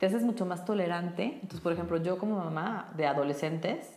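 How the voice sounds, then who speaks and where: Audible room echo, noticeable background noise, and a very fast pace. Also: woman. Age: 40s. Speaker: brain coach. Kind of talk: interview.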